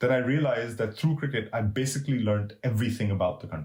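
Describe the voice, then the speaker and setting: A man talks at a very fast pace, somewhat breathy, with ordinary pitch variation. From Middle East. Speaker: cricket writer and historian. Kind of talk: interview conversation. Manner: halting, many repetitions.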